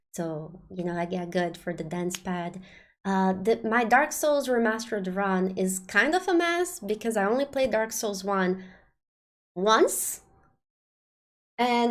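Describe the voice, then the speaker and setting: The speaker is a woman. Her accent is non-native. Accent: non-native accent, remarked by self. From Brazil. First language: Portuguese. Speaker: game streamer. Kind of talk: live stream talk to chat. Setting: live stream. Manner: hesitant, many fillers.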